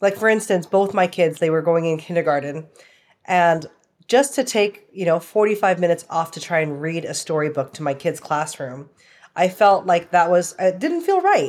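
An ordinary speaking voice with a Canadian accent, ordinary pitch variation and a moderate pace, on a very clean recording with a silent background. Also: woman, fairly low pitch for a woman. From Canada. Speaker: real estate investor. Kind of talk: interview.

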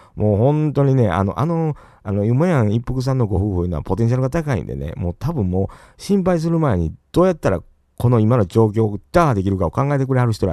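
The tone is dark and mellow, in a Kansai accent with very wide pitch swings. Delivery is very fast over a quiet background. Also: man. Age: 40s. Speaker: podcast host. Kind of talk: casual livestream chat. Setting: solo livestream.

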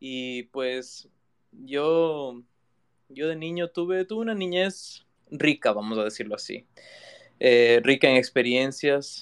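A man with a fairly high pitch and lively intonation, at a very slow pace with long, frequent pauses. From Ecuador, Quito. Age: 20s. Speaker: digital artist. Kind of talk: interview conversation. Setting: live audio room online.

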